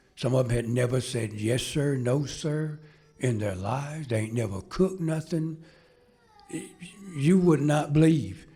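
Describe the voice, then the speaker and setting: Noticeable background noise runs under this clip. A man with a fairly high pitch talks at a moderate pace. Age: 70s. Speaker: retired firefighter and fire instructor. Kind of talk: ceremony speech, humorous storytelling. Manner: halting, repeats words.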